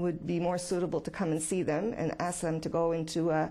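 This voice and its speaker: A woman's dark, mellow tone with vocal fry. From Quebec, Canada. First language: French. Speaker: office worker dealing with the public. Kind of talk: interview answers. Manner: halting, with fillers and repetitions.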